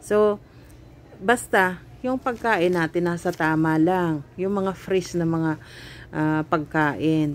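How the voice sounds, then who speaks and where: Very slow speech from a woman pitched fairly low, with ordinary pitch variation. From Philippines. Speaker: cooking vlogger; home cooking vlogger. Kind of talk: casual vlog chat. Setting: shopping trip, on the way home. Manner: hesitant, many fillers. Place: shop. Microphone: phone near.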